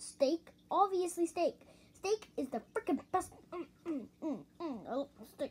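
Doing a cartoonish character voice, a man talks at a fairly slow pace with an extremely high pitch. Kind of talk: puppet interview answers. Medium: puppet. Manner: loud, excitable.

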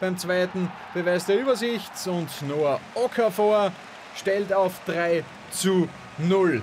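Amid noticeable background noise, a man with a high pitch and ordinary pitch variation speaks at a very slow pace, leaving long, frequent pauses. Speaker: football commentator. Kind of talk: live sports commentary over match highlights. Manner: fluent, lively, with wordplay and quips.

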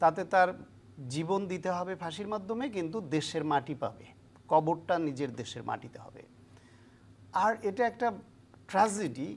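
Loudness swings widely as the speaker delivers lines with lively intonation. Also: woman, fairly low pitch for a woman. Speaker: political analyst. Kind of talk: interview. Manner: halting.

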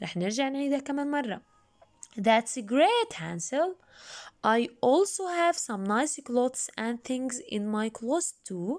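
A woman speaks in a Jordanian accent at a fairly slow pace. Her pitch is high, with very wide swings. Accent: Levantine (Jordanian) Arabic. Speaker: English teacher. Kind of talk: lesson with reading aloud. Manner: slow, repetitive didactic.

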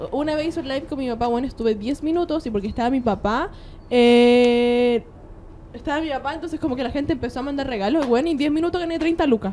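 A high-pitched woman speaks at a very fast pace. Noticeable background noise is present. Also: ordinary pitch variation. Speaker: podcast co-host, social media influencer. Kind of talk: casual chat.

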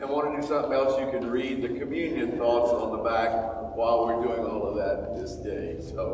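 Talking at a fairly quick pace, a man is heard with audible room echo. Noticeable background noise runs under his voice. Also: ordinary pitch variation. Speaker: pastor. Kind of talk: prayer then announcements. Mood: earnest prayer, then relaxed. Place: hall. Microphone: camera far.

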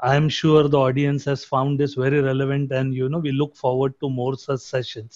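At a fairly quick pace, a man talks in a fairly high pitch with monotone, flat intonation. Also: hardly any pauses. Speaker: webinar organizer. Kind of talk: formal webinar introduction. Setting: video call webinar.

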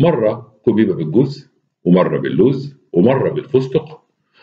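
The background is quiet, and the speaker reads in a natural reading voice.

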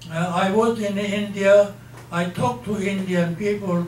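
Fairly slow speech with audible room echo and light background noise. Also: man, high pitch for a man, ordinary pitch variation. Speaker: speaker. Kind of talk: talk or interview answer. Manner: aged, halting elderly voice. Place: hall.

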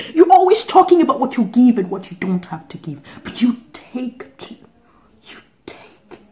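The voice moves at a moderate pace, with big swings in loudness and very wide pitch swings. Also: woman, high pitch for a woman. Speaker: actor. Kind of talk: dramatic monologue performance. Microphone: phone near.

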